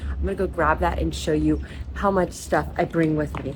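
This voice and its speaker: A woman at a moderate pace, with audible room echo and music in the background. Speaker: beauty vlogger. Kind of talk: vlog voice-over. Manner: soft-spoken.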